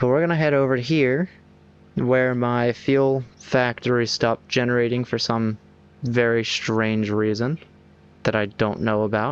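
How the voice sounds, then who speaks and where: Fairly slow delivery with fairly even intonation and very even loudness. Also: man, medium pitch for a man. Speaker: gaming streamer. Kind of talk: gameplay commentary.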